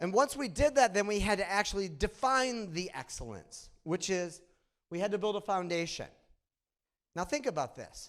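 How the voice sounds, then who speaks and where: A moderate pace with very wide pitch swings. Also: man, very clean recording, silent background. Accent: Midwestern. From Michigan, US Midwest. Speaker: conference speaker, data analytics leader. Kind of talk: conference presentation. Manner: conversational, engaging.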